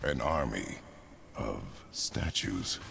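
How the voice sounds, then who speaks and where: Over clear background noise, a man puts on a character voice with a very deep, low pitch. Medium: video game. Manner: terse, clipped.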